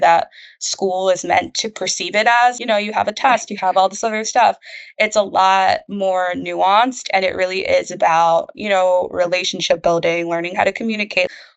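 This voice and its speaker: Her voice sits at a medium pitch, and the woman talks at a moderate speed with ordinary rises and falls. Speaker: project coordinator, former student ambassador. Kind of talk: interview. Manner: soft-spoken; halting.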